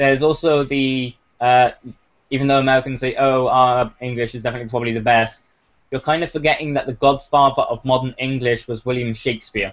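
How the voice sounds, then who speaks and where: A man with a British accent speaks at a fairly quick pace, his medium-pitched voice holding a monotone, flat intonation. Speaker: gaming radio show host. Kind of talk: casual chat.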